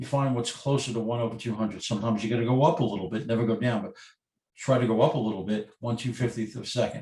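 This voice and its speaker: A man talks at a very fast pace with fairly even intonation. His voice is somewhat breathy. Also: medium pitch for a man. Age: 60s. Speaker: photographer, workshop presenter. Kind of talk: webinar lecture.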